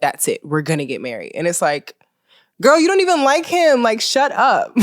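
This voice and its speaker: A woman with an American accent at a moderate pace, on a very clean recording with a silent background. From Maryland, US. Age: 30s. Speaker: podcast host, former model and influencer. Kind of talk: solo podcast monologue, casual chat. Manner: animated.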